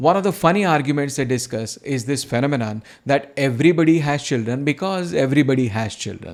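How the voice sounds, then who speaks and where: A man with a fairly high voice talks at a very fast clip, his intonation lively and his speech running on with hardly any pauses. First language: Marathi. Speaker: video channel host, antinatalism commentator. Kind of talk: scripted news roundup narration.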